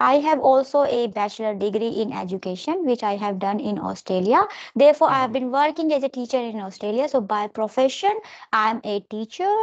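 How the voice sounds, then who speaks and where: A woman speaks with an Indian accent at a fairly quick pace. Her pitch is fairly high, and her intonation is lively. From India, Delhi. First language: Hindi. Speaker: English tutor. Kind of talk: casual chat. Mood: calm, friendly. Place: home room. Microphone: video call.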